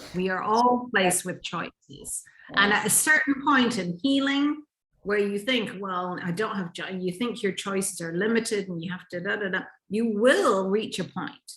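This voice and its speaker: Here is an unremarkable speaking voice from a woman at medium pitch. She talks at a moderate pace with lively intonation. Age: 60s. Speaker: relationship and intimacy coach. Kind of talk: interview conversation.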